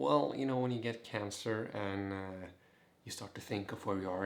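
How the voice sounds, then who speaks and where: A man with a fairly low pitch talks with fairly even intonation. Audible room echo and noticeable background noise are present. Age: 20s. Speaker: vlogger, cancer survivor. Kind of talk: casual vlog.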